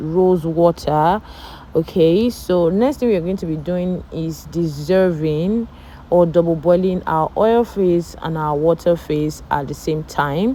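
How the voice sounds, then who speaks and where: A woman's fairly low, dark and mellow voice in a non-native accent, with ordinary pitch variation at a fairly slow pace. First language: not English. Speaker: cosmetics tutorial creator. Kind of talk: tutorial voiceover. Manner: casual, hesitant.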